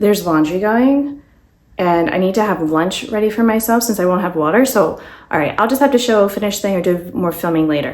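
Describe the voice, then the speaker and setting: A woman's medium-pitched voice with lively intonation at a fairly quick pace, in audible room echo. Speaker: beauty vlogger. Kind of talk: casual chat while doing makeup. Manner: rambling with many fillers.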